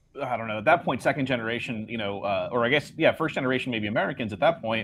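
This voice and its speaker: Talking at a very fast pace with lively intonation, a man is heard over noticeable background noise. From Southern California, LA area, Mexican-American family. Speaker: comic artist. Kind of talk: casual chat.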